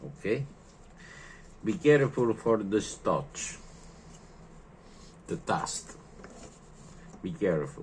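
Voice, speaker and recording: Vocal fry runs through this very slow delivery with an Italian accent and long, frequent pauses. The intonation is lively. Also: man, medium pitch for a man. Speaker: lighter repairer. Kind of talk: tutorial. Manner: halting.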